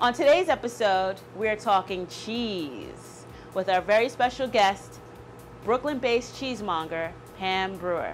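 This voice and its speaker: Over music in the background, a woman speaks with lively intonation. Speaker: cooking show host. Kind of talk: show host intro. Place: kitchen. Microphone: lapel.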